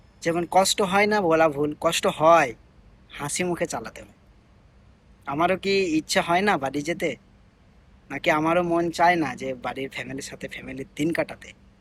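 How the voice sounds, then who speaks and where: A high-pitched man with ordinary pitch variation and big swings in loudness. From India, Bengali-speaking region. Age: 20s. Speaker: migrant domestic worker and vlogger. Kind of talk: personal vlog monologue. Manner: halting, with many pauses and fillers.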